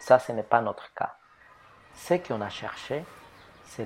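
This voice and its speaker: A man speaks at a very slow pace with a Spanish accent. His pitch sits fairly low. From Ecuador. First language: Spanish (speaking French). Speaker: photographer. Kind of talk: testimony.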